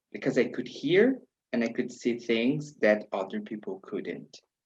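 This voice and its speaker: His delivery comes at a fairly slow pace. This man's pitch rises and falls across a very wide range. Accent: Brazilian. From Brazil. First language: Portuguese. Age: 40s. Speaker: spiritual tarot practitioner. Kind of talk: personal life story. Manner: non-native, hesitant phrasing.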